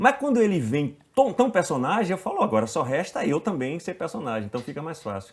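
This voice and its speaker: The speaker has a northeastern Brazilian accent and a moderate pace. The pitch swings very widely. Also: man. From Bahia, Brazil (Itabuna). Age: 50s. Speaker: actor. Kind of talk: casual interview.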